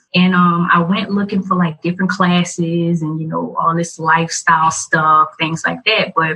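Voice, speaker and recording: A woman with a Louisiana accent speaks at a fairly low pitch with fairly even intonation. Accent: Southern US, Louisiana. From US South, Louisiana (Morgan City). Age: 20s. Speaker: video blogger and podcaster. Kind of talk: interview.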